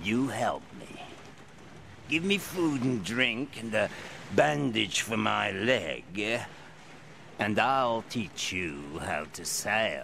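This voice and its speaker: Using a put-on character voice at a medium pitch, a man speaks at a very slow pace with long, frequent pauses over clear background noise. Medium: audio drama. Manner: gruff, sly.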